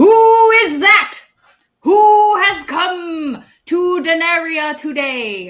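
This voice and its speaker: Shouting in a put-on character voice at an extremely high pitch, the speaker goes at a very slow pace. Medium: actual play.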